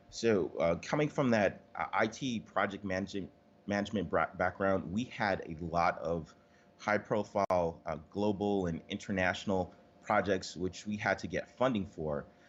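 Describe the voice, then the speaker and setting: A man with a New York accent talks at a moderate pace. His pitch is fairly low, with ordinary variation. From New York City. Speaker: marketing agency owner. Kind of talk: interview. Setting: Skype call.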